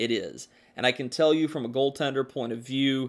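Captured in a very clean recording with a silent background, a plain, everyday voice keeps fairly even intonation. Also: man. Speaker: podcast host and hockey commentator. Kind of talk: sports podcast recap, play-by-play style narration of a hockey game. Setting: studio podcast. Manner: conversational, opinionated.

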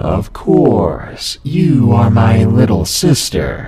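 A man's raspy, put-on character voice at medium pitch, very slow, with clear background noise and a slight echo. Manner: disturbing.

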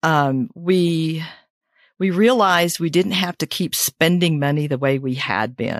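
An unremarkable speaking voice with lively intonation goes at a fairly slow pace in a very clean recording with a silent background. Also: woman, fairly low pitch for a woman. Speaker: retiree and podcast host. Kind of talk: podcast interview.

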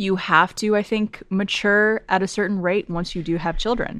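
Recorded very cleanly against a silent background, a woman with a plain, everyday voice speaks at a fairly slow pace in a medium pitch with fairly even intonation. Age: 30s. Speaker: podcast host. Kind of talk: casual chat.

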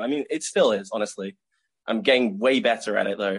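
Using an ordinary speaking voice, a man talks at a fairly quick pace. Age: 20s. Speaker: martial arts tricking athlete. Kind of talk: casual interview.

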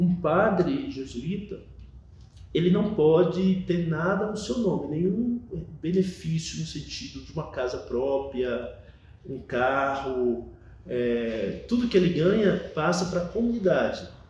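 Against noticeable background noise and audible room echo, a man with a high pitch talks at a very slow pace, his pitch swinging very widely. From Bahia, Brazil (moved from São Paulo as a small child). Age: 40s. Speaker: Jesuit priest. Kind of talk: interview testimony.

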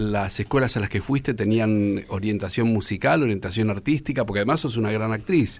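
Fairly quick speech from a man with a Rioplatense accent at a fairly low pitch. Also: ordinary pitch variation, hardly any pauses. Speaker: radio host. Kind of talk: radio interview.

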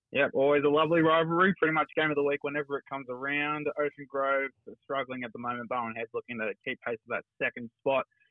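A man with an Australian accent, fairly high in pitch, racing along very fast with hardly any pauses and fairly even intonation. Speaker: local footy journalist. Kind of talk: sports report.

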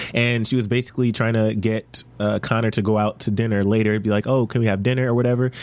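A man with a medium pitch rattles through his words at a very fast pace. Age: 20s. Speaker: TV after-show host. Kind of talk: casual chat. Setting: studio.

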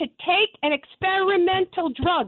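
A woman speaks in a New York accent. Her pitch is extremely high. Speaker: caller. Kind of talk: radio call-in. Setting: phone call.

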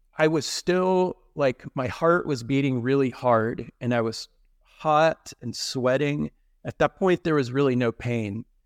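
A man with an American accent speaks in an ordinary speaking voice at medium pitch and a fairly slow pace, with ordinary pitch variation and a dry, close sound with no echo. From Texas. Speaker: heart attack survivor. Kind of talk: personal story in a casual interview.

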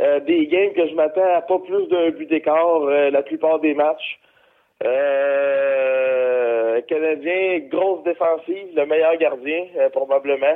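This man's pitch is fairly high, with ordinary variation. He talks at a very slow pace. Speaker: hockey pundit. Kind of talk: sports predictions chat.

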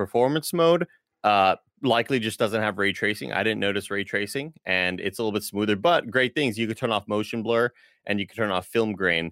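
A man with an ordinary speaking voice, fairly low pitch, ordinary pitch variation and a fairly quick pace, recorded dry and close with no echo, very clean over a silent background. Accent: American. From Texas. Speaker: game streamer. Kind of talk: casual chat.

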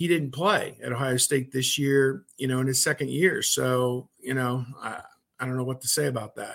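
With an unremarkable speaking voice, a man keeps a moderate pace, a medium pitch, and fairly even intonation. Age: 50s. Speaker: sports journalist. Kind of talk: casual chat.

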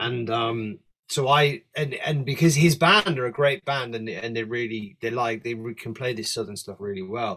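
Bright and sharp in tone, a man's medium-pitched voice moves at a moderate pace with ordinary pitch variation. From northeast England. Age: 40s. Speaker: blues-rock guitarist. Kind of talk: casual chat. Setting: home studio.

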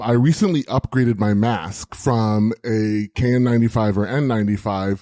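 A man with a dark, mellow tone speaks at medium pitch with ordinary pitch variation. His moderate-paced delivery has a dry, close sound with no echo. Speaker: podcaster and IT administrator. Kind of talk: casual chat.

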